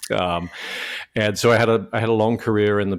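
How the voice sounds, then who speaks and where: Man in a British accent, with monotone, flat intonation. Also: very clean recording, silent background. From UK. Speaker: franchise consultant. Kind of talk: podcast interview. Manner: halting, many fillers and repeats.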